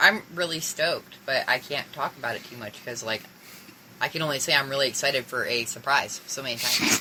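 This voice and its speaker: A woman's very deep, low voice at a fairly quick pace, with ordinary pitch variation, big swings in loudness and noticeable background noise. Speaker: podcast co-host. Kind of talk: casual chat. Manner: slurred speech.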